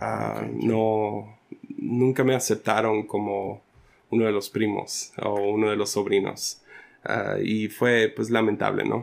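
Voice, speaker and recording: Very slowly and in a monotone, flat intonation, a man speaks with a fairly low pitch. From Sinaloa, Mexico (raised by American missionaries). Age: 30s. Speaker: pastor. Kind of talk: casual interview.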